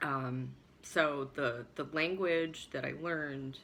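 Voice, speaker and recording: The voice shows vocal fry and ordinary pitch variation. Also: woman. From US Midwest, Chicago suburb. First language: Swabian German dialect. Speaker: vlogger. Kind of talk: personal storytelling monologue. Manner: halting, many fillers.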